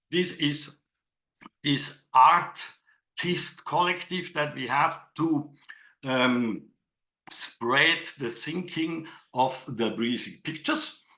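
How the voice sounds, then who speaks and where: A man's very slow speech with a non-native accent, fairly high in pitch and bright, sharp in tone. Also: ordinary pitch variation. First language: not English. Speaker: digital artist and workshop leader. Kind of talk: online workshop presentation. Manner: halting, with fillers.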